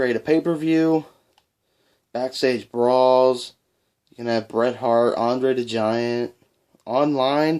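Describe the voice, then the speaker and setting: Over a very clean, silent background, a man talks at a fairly slow pace with ordinary pitch variation. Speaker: gaming YouTuber. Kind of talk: video game collection showcase. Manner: casual.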